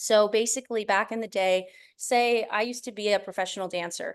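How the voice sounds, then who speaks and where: A woman talks fairly quickly at medium pitch. Her intonation is fairly even, and the background is quiet. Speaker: presenter on short-form video marketing. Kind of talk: online presentation. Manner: fast.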